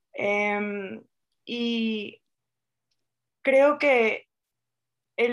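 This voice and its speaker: On a very clean recording with a silent background, a woman with a normal speaking voice talks at a fairly high pitch with fairly even intonation. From Venezuela. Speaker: writer and poet. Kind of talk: literary interview.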